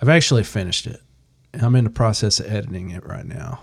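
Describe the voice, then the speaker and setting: Somewhat breathy, a man speaks at a fairly quick pace in a fairly low pitch. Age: 40s. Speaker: podcast co-host and firefighter. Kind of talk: casual chat.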